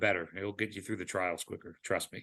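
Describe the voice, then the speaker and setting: A man talks at a very fast pace in a bright, sharp tone. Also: quiet background. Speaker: biotech company CEO giving an invited talk. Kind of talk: lecture. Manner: repetitive fillers, stumbling restarts.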